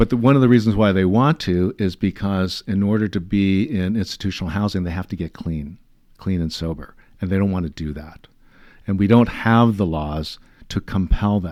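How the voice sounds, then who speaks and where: This man has a very deep, low voice and an American accent. He speaks at a moderate pace with ordinary pitch variation. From Los Angeles area, California. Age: 60s. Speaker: city councilman. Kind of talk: interview. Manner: halting, many fillers.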